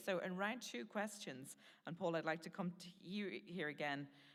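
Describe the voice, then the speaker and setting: A woman with an Irish accent speaks in a fairly low pitch. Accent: Irish lilt. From Ireland. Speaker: panel moderator. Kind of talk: panel discussion.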